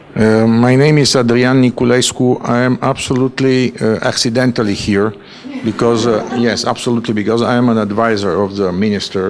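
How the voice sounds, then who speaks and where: A man's voice with fairly even intonation, audible room echo and noticeable background noise. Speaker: audience member, government advisor. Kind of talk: audience question. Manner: halting.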